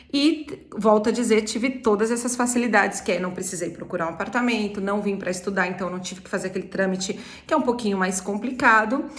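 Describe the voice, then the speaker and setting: A woman's medium-pitched voice at a very fast pace with hardly any pauses and ordinary pitch variation, plus audible room echo and noticeable background noise. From Brazil, São Paulo city. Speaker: travel agency owner. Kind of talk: personal talk on living abroad.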